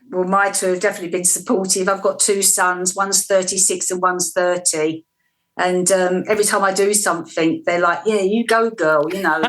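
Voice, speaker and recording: A woman with an English accent at a fairly quick pace, medium in pitch, with fairly even intonation. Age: 60s. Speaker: interviewee, weight loss. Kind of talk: TV interview.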